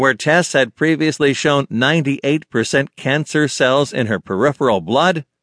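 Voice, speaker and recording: Vocal fry runs through this voice at a moderate pace, the sound dry and close with no echo over a quiet background. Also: man. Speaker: audiobook narrator. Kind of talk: audiobook narration. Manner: measured, formal, earnest.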